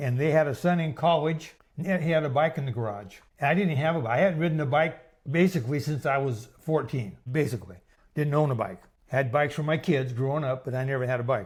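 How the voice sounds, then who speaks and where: Very fast, somewhat breathy speech. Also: man, fairly high pitch for a man, ordinary pitch variation. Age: 70s. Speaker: long-distance cyclist. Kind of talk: interview answer.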